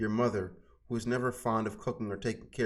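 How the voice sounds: Simply a natural reading voice.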